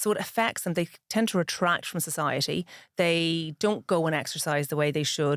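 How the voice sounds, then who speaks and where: A woman with a Northern Irish accent and a fairly low pitch, on a very clean recording with a silent background. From Ireland, Dublin (Dundrum), northern-accented parents. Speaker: pharmacist and author. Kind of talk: interview.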